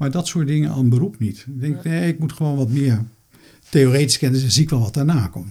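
Here a man talks at a fairly quick pace with ordinary pitch variation. His tone is dark and mellow, somewhat breathy. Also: medium pitch for a man. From Netherlands, Rotterdam. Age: 60s. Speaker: retired medical microbiologist. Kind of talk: interview.

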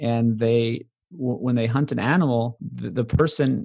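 This man has a plain, everyday voice, speaking at a moderate pace and medium pitch with ordinary pitch variation. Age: 30s. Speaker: documentary filmmaker. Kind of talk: interview.

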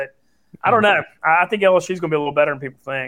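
Fairly even intonation comes through in this voice with a Southern US accent. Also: man. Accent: Southern US drawl. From Louisiana. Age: 30s. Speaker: sports betting radio personality. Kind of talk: casual chat.

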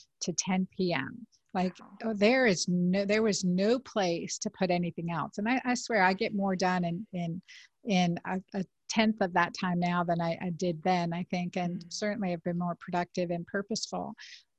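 Against a quiet background, a woman with a somewhat breathy voice at medium pitch speaks at a moderate pace with fairly even intonation, the sound dry and close with no echo. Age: 50s. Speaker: physician and podcast host. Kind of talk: casual interview.

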